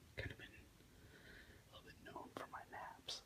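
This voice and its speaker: A man is whispering in a calm tone. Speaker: ASMR creator. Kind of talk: ASMR ramble to camera, relaxation. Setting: bedroom, lying in bed. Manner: whispered, soft-spoken, calm.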